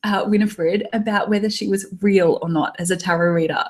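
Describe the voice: Moderately paced speech from a woman in an Australian accent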